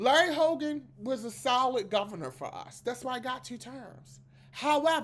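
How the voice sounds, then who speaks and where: With a Maryland accent, the speaker talks at a fairly slow pace in an animated tone with vocal fry. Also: woman. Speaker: political commentary podcast host. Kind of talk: casual political commentary monologue. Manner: animated, conversational.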